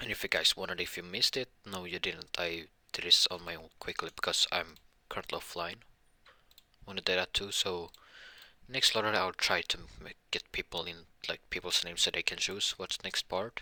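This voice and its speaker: With a bright, sharp tone and a very deep, low pitch, a man talks at a fairly quick pace with ordinary pitch variation, the sound dry and close with no echo. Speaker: YouTuber doing fan-fiction what-if stories. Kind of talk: casual vlog-style intro. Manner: low-energy, sounds uninterested; halting, many false starts.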